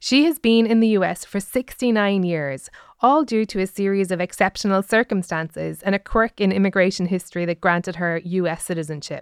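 With hardly any pauses, a woman speaks at a moderate pace and medium pitch in a plain, everyday voice with ordinary pitch variation, recorded very cleanly against a silent background. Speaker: comedian and podcast host. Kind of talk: scripted narration with interviews. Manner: jokey.

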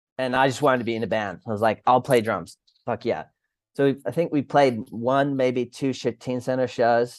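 An ordinary speaking voice from a man with an American accent, medium in pitch, with fairly even intonation over a quiet background. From Sydney, Australia and Rochester, US. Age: 30s. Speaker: former hardcore band musician. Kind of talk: casual chat. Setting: remote call from Australia.

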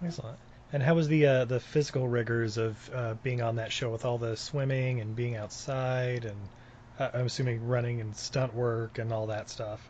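A man with an American accent has an unremarkable speaking voice, medium pitch, fairly even intonation and a moderate pace. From Utah, US. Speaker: podcast host. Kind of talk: interview.

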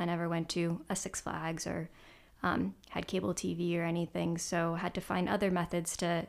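A woman with a fairly low pitch and vocal fry speaks at a moderate pace. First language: Croatian. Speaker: journalist and documentary filmmaker. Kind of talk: casual chat.

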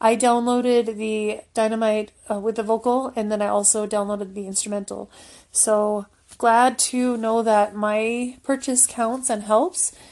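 With monotone, flat intonation, a woman talks at a fairly slow pace in a fairly high pitch over a quiet background. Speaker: BTS fan vlogger. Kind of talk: casual chat. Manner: stumbling, halting.

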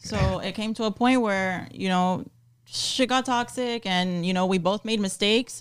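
A woman with an American accent and an ordinary speaking voice, medium pitch, fairly slow pace. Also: ordinary pitch variation. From Miami, Florida. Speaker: personal trainer and nutritionist. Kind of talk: casual chat.

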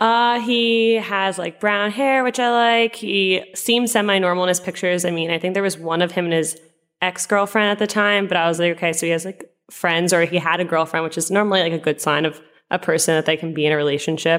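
An unremarkable speaking voice from a woman at medium pitch, with ordinary pitch variation and a fairly quick pace. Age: 20s. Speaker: teacher. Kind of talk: interview testimony.

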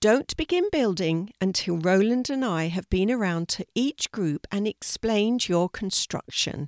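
An unforced reading voice carries lively intonation throughout.

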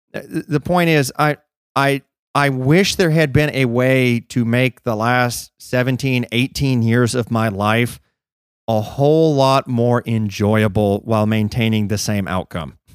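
On a very clean, dry, close recording with a silent background and no echo, a man speaks fairly slowly in a plain, everyday voice at medium pitch with ordinary pitch variation. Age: 30s. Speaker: podcast co-host. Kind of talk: casual chat.

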